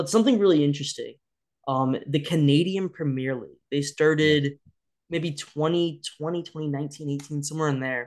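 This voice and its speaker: Here a man has an unremarkable speaking voice at fairly high pitch. He talks at a moderate pace with fairly even intonation. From US Midwest. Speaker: YouTuber. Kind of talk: casual chat.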